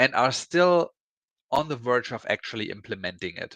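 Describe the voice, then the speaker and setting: A man with a German accent, bright, sharp tone and ordinary pitch variation, in a dry, close sound with no echo over a quiet background. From Germany. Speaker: IT consultant panel host. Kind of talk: live panel discussion.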